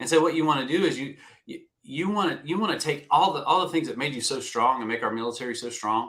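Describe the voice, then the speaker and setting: Talking at a very fast pace, a man with a Southern US accent uses lively intonation and a fairly high pitch. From US South. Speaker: retired navy veteran, career coach. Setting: live video stream.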